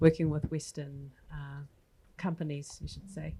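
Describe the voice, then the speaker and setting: In a New Zealand accent, a woman with a very deep, low pitch and a dark, mellow, somewhat breathy tone speaks at a moderate pace with monotone, flat intonation on a very clean recording with a silent background. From New Zealand (Māori). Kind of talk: panel discussion. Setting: stage with audience.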